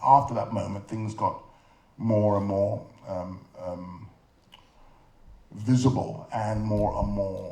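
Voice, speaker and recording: A man with a London accent, medium-pitched and somewhat breathy, with ordinary pitch variation. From London, England. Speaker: film director and artist. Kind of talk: interview answer.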